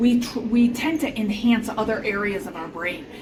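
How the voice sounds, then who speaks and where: A fairly high-pitched woman with an American accent, noticeable background noise behind her. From Chicago. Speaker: podcast host. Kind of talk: casual explanatory chat. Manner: fast; loud.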